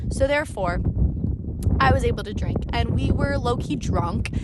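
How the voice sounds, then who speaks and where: A woman with an American accent speaks in an animated tone, with noticeable background noise and audible room echo. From US Midwest, Springfield Illinois. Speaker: podcaster, travel vlogger. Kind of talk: casual monologue storytelling. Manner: fast, animated.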